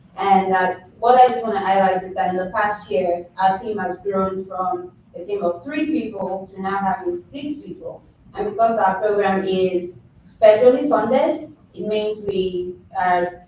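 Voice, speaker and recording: A woman with a Nigerian accent, medium pitch and ordinary pitch variation, big swings in loudness, and noticeable background noise. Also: moderate pace. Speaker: nutrition educator. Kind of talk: public presentation at board meeting. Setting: county board meeting.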